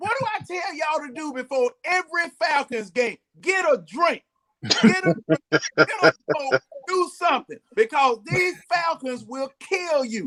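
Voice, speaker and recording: An extremely high-pitched man projects his voice in a bright, sharp tone with lively intonation at a fairly slow pace. The sound is dry and close, with no echo. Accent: American. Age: 60s. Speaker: sports fan panelist. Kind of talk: casual sports chat.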